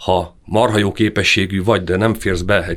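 A man is speaking. His intonation is fairly even. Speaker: ski federation youth coordinator. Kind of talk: interview. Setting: studio. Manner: smiling.

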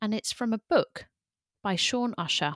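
A woman with a British accent speaks fairly slowly with lively intonation on a very clean recording with a silent background. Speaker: podcast host and coach. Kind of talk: interview, casual conversational.

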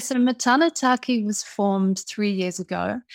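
A woman with a New Zealand accent talks at a fairly slow pace with ordinary pitch variation. The sound is dry and close with no echo, on a very clean recording with a silent background. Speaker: impact investor and entrepreneur. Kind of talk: interview.

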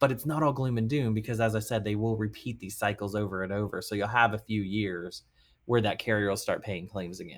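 A man with an unremarkable speaking voice, fairly low pitch and ordinary pitch variation at a fairly quick pace, on a very clean recording with a silent background. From Texas, Arlington near Dallas. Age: 30s. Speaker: property damage attorney. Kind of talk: interview.

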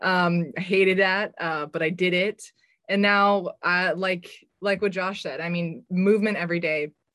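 Using an ordinary speaking voice, a woman talks at a medium pitch and a moderate pace with fairly even intonation. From US West Coast, San Francisco Bay Area. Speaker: marketing director, former strength coach. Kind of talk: panel discussion. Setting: video call.

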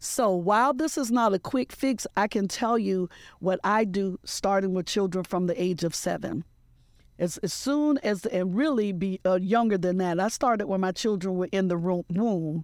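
In a very clean recording with a silent background, a woman uses a normal speaking voice at a medium pitch, a moderate pace and ordinary pitch variation. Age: 50s. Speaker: entrepreneur and author. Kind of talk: interview.

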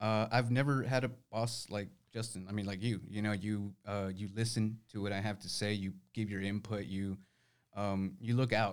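In a normal speaking voice, a man with fairly low pitch talks at a moderate pace with fairly even intonation. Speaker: law firm staff member. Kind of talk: casual interview.

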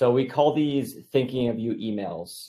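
Against a silent background on a very clean recording, a man speaks with a dark, mellow tone. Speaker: sales leader. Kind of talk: casual interview. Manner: calm.

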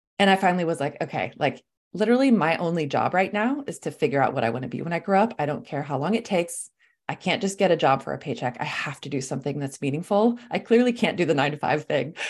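On a very clean recording with a silent background, a woman with an American accent speaks very fast in an animated tone, her fairly low voice swinging very widely in pitch. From Los Angeles, California (Swedish-born). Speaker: life coach and speaker. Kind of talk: interview chat. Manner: animated, casual.

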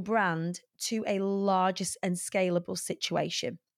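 The recording is very clean, its background silent. A woman talks in a British accent. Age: 40s. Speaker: motivational speaker and entertainer. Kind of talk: interview conversation.

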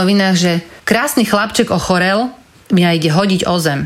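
A woman talks at a fairly quick pace and a medium pitch. Noticeable background noise sits behind her. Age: 40s. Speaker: former charity marketing head. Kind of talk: interview.

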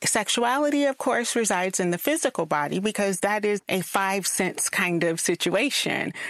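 A woman of medium pitch with a Southern US accent and lively intonation, at a moderate pace with hardly any pauses and very even loudness. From South Carolina, US South. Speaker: fiction author. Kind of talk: interview.

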